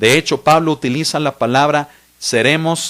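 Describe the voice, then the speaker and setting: In a normal speaking voice, a man talks at a fairly slow pace with a fairly high pitch and ordinary pitch variation. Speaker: pastor. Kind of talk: bible study teaching.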